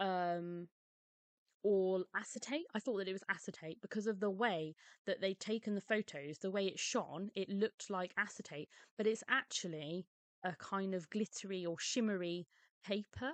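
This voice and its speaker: A woman's quiet, medium-pitched voice, dry and close with no echo, at a fairly slow pace with ordinary pitch variation. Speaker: papercraft hobbyist. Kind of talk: casual talk to camera.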